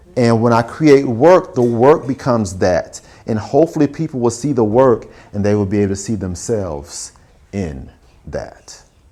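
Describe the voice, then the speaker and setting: A man with a Southern US accent talks at a medium pitch with lively intonation. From Alabama, Huntsville. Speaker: visual artist. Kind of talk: artist talk with audience Q&A. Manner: casual, conversational.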